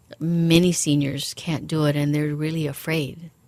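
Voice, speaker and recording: A woman with a very deep, low pitch and monotone, flat intonation, at a fairly slow pace. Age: 50s. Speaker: physical therapist. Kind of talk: radio interview.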